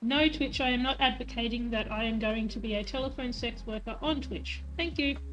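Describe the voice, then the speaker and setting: Talking at a fairly quick pace, a woman is heard with noticeable echo from the room. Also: hardly any pauses. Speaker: streamer. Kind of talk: casual chat.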